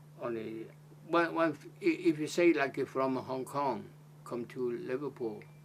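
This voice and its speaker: A man with a Chinese accent talks at a very slow pace, his pitch medium with ordinary variation. Noticeable background noise runs under the recording. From China, Zhejiang province. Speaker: retired Blue Funnel merchant seaman, interviewee in oral history. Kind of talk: interview answer. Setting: oral history interview.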